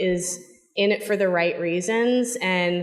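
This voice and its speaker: With an American accent, the speaker talks at a moderate pace with ordinary pitch variation, and audible room echo can be heard. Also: woman. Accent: slight Boston accent, shows when relaxed. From Boston. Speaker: corporate public policy executive. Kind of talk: panel discussion.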